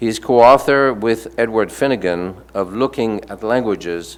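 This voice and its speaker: At a fairly slow pace, a man talks with a strong French accent. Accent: thick French. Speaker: panel moderator. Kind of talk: reading aloud panelist bios. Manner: halting, frequent stumbles and fillers.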